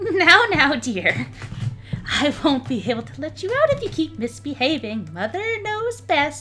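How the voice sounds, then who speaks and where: A man puts on a character voice pitched extremely high, with clear background noise behind him. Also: moderate pace. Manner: sweetly condescending.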